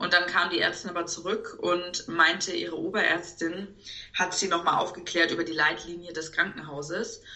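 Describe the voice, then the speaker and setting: Through noticeable background noise and audible room echo, a woman speaks at a moderate pace in a fairly low pitch with monotone, flat intonation. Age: 30s. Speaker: expectant mother, event manager. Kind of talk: podcast interview.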